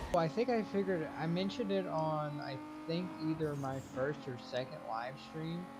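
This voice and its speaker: A man speaks at a moderate pace, his fairly high pitch swinging very widely. Music plays in the background. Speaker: gaming YouTuber. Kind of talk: gameplay commentary. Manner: quiet, near whispering; casual, halting.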